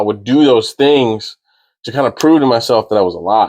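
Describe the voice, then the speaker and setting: An American accent at a moderate pace, with ordinary pitch variation against a quiet background. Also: man. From Maryland and Florida, US. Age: 30s. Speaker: firearms instructor. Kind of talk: podcast interview. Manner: halting, with repetitions.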